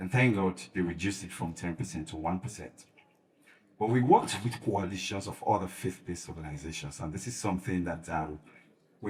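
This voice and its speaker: The voice is somewhat breathy, with ordinary pitch variation and big swings in loudness. The pace is fairly quick. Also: man. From Sierra Leone. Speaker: faith-based advocacy leader. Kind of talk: panel discussion. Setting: conference panel.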